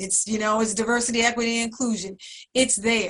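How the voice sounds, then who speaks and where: A woman speaks in a plain, everyday voice with a fairly high pitch. Her intonation stays fairly even. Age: 60s. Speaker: community program staff, panelist. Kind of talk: panel discussion. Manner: conversational, many filler words.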